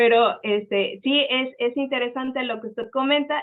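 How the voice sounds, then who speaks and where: Fairly even intonation runs through this speech, delivered at a moderate speed. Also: woman. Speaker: seminar speaker presenting research. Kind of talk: academic seminar talk and Q&A. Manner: halting, many fillers.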